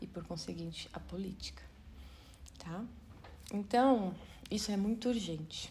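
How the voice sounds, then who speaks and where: Her loudness rises and falls sharply, with long, frequent pauses. The woman's voice carries audible room echo. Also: fairly slow pace. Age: 40s. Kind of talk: Bible study talk. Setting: video recording. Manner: halting.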